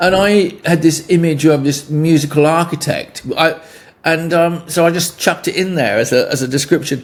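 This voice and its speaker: Over noticeable background noise, someone with a southern English accent talks at a moderate pace with fairly even intonation. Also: man, high pitch for a man. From England. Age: 70s. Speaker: musician. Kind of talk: interview. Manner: halting.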